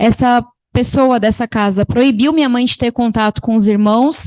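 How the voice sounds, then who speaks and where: Against a quiet background, a woman speaks at a high pitch with a dry, close sound and no echo. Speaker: panel speaker. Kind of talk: testimony. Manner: fast; animated.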